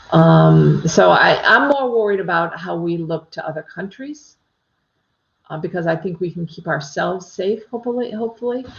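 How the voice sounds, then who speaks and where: A woman with an American accent speaks at a moderate pace, her fairly low voice carrying lively intonation. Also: big swings in loudness. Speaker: psychic medium. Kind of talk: casual livestream chat with viewers. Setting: live stream. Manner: chatty, many fillers.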